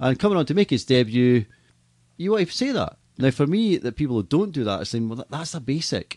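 With a Scottish accent, a man talks at a fairly quick pace in a fairly high pitch, his voice making very wide pitch swings. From Scotland. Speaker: stadium PA announcer and entertainment business owner. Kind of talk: casual interview. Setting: studio. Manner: fast.

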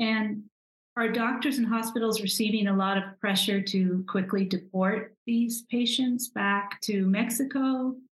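A woman talks with a fairly high pitch and a somewhat breathy sound. Her intonation stays fairly even. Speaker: podcast interviewer. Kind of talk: interview questions.

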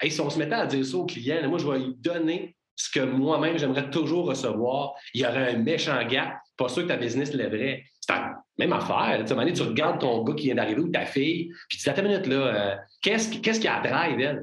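Speaking at a fairly quick pace with a Quebec accent, a man uses a fairly high pitch, lively intonation and very even loudness. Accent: Québécois French. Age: 40s. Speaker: business consultant and entrepreneur. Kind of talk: casual interview.

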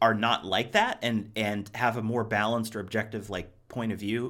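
A man with an American accent talks at a fairly quick pace in a bright, sharp, medium-pitched voice. The recording is very clean, with a silent background. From Ohio, US Midwest. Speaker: podcast host. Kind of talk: casual chat.

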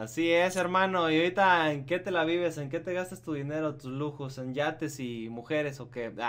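At a moderate pace and with hardly any pauses, a man talks in a fairly high pitch. It is a plain, everyday voice with ordinary pitch variation. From Michoacán, Mexico. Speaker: podcast host. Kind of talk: casual chat.

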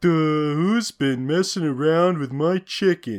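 A cartoonish character voice at a middle pitch and a fairly slow pace. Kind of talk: generic cartoon voice. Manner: dim-witted, exaggerated.

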